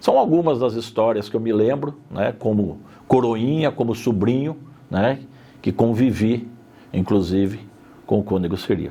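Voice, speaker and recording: Speaking at a fairly slow pace with long, frequent pauses, a man uses a dark, mellow tone at medium pitch and keeps his loudness very even. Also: ordinary pitch variation. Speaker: interviewee in documentary. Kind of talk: interview testimony.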